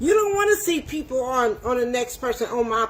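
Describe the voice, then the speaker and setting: With noticeable background noise behind her, a woman speaks in an animated tone at a fairly slow pace, her high pitch making very wide swings. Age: 60s. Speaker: home cook livestreamer. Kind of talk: livestream rant. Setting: livestream.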